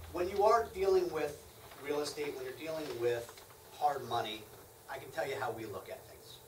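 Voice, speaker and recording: Audible room echo and light background noise accompany speech at a moderate pace. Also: man. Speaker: hard money lender presenting to real estate investors. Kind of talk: lecture. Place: meeting room. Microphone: camera far.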